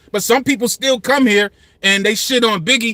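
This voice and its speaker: At a very fast pace, a man speaks in a raised, projected voice with a bright, sharp tone and ordinary pitch variation. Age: 50s. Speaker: YouTube commentator on rap. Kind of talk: casual livestream commentary. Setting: livestream. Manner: passionate, animated.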